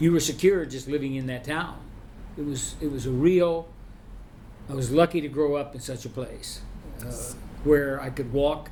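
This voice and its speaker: A man with fairly high pitch and fairly even intonation speaks at a moderate pace, leaving long, frequent pauses. His loudness swings a lot, and the room echo is audible. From Oklahoma (Sapulpa, near Tulsa). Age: 70s. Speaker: retired band director and music professor. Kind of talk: interview. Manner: halting, many restarts and fillers.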